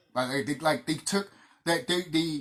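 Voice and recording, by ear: A man talks at a fairly high pitch, his fairly bright tone carrying a slightly husky edge.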